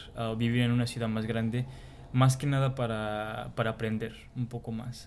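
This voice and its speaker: A man speaks at a medium pitch and a fairly slow pace, his intonation flat and monotone. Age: 20s. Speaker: account manager. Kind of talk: group interview.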